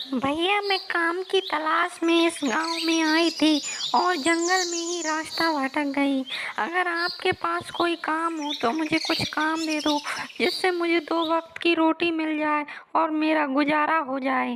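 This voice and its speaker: A female-sounding voice does a put-on character voice at an extremely high pitch. She goes at a fairly slow pace over clear background noise. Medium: read story. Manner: cackling laugh.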